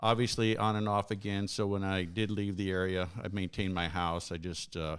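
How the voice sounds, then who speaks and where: The man's voice is very deep and low, with monotone, flat intonation. The recording is very clean, with a silent background. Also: fairly quick pace. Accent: American. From Arizona, Phoenix. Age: 60s. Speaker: congressional candidate, retired military officer. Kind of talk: interview.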